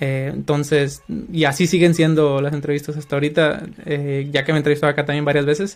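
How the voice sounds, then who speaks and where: Monotone, flat intonation runs through very fast speech. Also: man, fairly high pitch for a man. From Mexico, Culiacán, Sinaloa. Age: 30s. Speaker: software developer. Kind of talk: interview.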